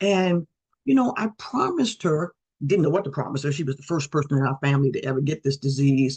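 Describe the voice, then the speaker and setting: Very deep and low in pitch, a woman talks at a very fast pace, somewhat breathy with ordinary pitch variation, in a dry, close sound with no echo. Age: 60s. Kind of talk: presentation.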